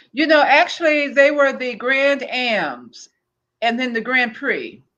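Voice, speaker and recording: A woman talks very slowly in a bright, sharp tone. Her pitch is high, with ordinary variation. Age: 60s. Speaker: cosmetics sales consultant. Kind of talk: interview.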